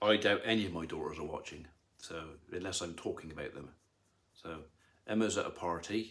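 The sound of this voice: A man speaks at a fairly quick pace. His low voice has a fairly bright tone. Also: ordinary pitch variation.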